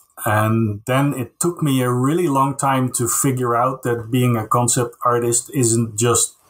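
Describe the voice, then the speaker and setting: A man speaks with a Dutch accent. His pace is fairly slow and his intonation fairly even. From Netherlands (Castricum, North Holland). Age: 40s. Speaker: concept artist. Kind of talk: casual interview. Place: home room.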